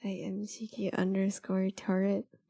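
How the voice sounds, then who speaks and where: A woman with a dark, mellow tone talks at a medium pitch and a fairly slow pace, in a dry, close sound with no echo. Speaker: streamer. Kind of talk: live stream chat. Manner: animated.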